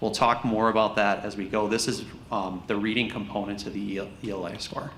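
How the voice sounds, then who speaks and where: Audible room echo colors the fairly low voice of a man. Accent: American. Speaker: school district administrator presenting test results. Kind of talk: board meeting presentation. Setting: school board meeting. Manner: fast; animated.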